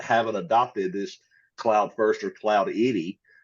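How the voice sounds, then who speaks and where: A man speaks with a Mississippi accent. His pace is moderate. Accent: Southern US (Mississippi). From US South, rural Mississippi. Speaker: tech company partnerships lead, Air Force veteran. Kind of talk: podcast interview. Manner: casual, conversational.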